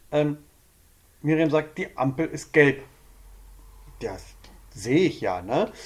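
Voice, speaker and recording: A man talks at a very slow pace with long, frequent pauses and a fairly high pitch. His intonation is lively, and vocal fry runs through his voice. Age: 40s. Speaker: couples counselor. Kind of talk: casual chat. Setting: studio.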